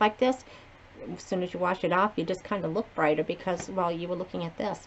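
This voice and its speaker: Talking rather quickly with an American accent, a woman is heard over clear background noise. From Massachusetts, between Providence and Boston. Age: 60s. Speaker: beauty vlogger. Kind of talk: casual chat. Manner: casual, rambling with fillers.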